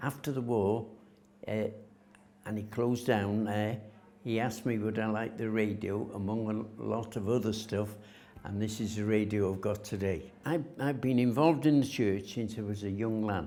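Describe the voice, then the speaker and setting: Audible room echo surrounds a man who speaks at a fairly low pitch with a dark, mellow tone and fairly even intonation. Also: moderate pace. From north Wales, Rhuddlan. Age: 80s+. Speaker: local resident sharing heritage memories. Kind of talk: oral history interview. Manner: halting, with frequent fillers.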